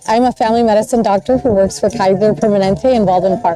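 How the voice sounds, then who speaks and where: Against noticeable background noise, a woman speaks with a Spanish accent. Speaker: doctor. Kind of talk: interview.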